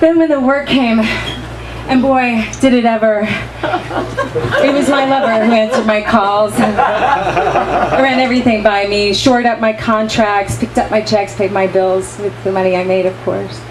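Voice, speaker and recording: Against noticeable background noise, a woman speaks at a fairly high pitch with ordinary pitch variation. She talks at a fairly slow pace with hardly any pauses. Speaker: actress. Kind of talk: dramatic monologue reading. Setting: live reading in a bar.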